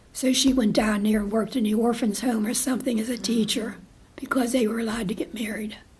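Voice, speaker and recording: Speaking very fast, a woman keeps her intonation fairly even at a fairly high pitch. The room echo is audible, and background noise is noticeable. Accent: American. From western Pennsylvania, Butler. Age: 80s+. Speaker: retired nurse. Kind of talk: oral history interview. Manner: conversational, hesitant.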